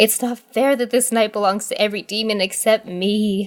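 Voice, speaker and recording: In a raspy, put-on character voice, the speaker keeps a moderate pace. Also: woman, fairly high pitch for a woman. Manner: complaining, indignant.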